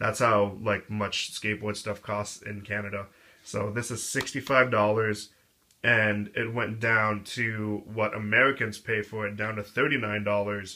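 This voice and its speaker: A man mumbles in a flat monotone at a fairly slow pace, his pitch fairly low and his tone bright and sharp. The recording is very clean with a silent background. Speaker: skateboard hobbyist reviewer. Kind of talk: casual product review. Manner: mumbling.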